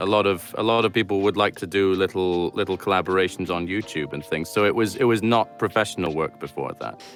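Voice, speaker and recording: Over music in the background, a man with a very deep, low voice talks at a very fast pace with hardly any pauses and ordinary pitch variation. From Scotland. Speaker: voice actor. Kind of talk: interview answer.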